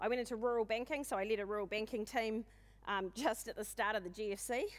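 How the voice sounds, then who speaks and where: In a New Zealand accent, a woman talks at a very fast pace in an animated tone at a medium pitch. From New Zealand, west coast of the South Island. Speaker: conference speaker, agribusiness consultant. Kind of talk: conference talk.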